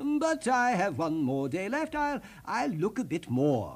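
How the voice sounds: Putting on a character voice, a man swings very widely in pitch from a high register for a man, at a fairly slow pace.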